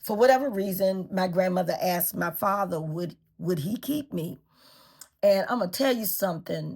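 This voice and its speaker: A woman speaks at a moderate pace with a medium pitch. Her voice has vocal fry. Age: 60s. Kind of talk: personal storytelling to camera. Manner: hesitant, conversational.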